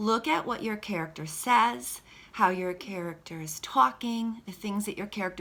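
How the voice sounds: Natural reading voice, pitch varying in an ordinary way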